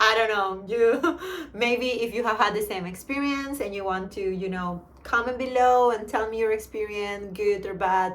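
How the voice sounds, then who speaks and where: A woman with a Spanish accent and a fairly high pitch speaks at a moderate pace with ordinary pitch variation, amid audible room echo and noticeable background noise. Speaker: vlogger. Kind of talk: casual vlog monologue. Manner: animated.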